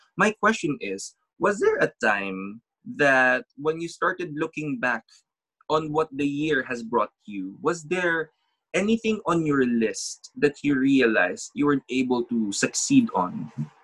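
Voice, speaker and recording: Talking at a fairly slow pace, a man uses a fairly high pitch that swings very widely. The sound is dry and close, with no echo. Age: 30s. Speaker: podcast host, reiki master. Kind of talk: casual chat.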